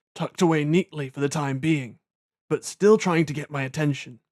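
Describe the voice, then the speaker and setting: With a British accent, a man speaks at a fairly quick pace in a fairly high pitch with fairly even intonation, his sound dry and close with no echo in a very clean recording with a silent background. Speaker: audiobook narrator. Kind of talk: audiobook narration of a fantasy novel.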